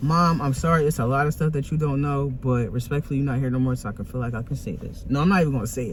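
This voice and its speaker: Over noticeable background noise, a man talks at a very fast pace in a fairly high voice with ordinary pitch variation. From US Northeast, West Philadelphia. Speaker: vlogger and artist. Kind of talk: casual vlog talk. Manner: animated.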